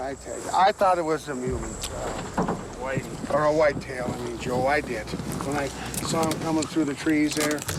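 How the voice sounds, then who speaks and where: Over noticeable background noise, a man with a fairly high voice talks at a moderate pace with fairly even intonation. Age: 60s. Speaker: hunter. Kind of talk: casual chat. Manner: halting.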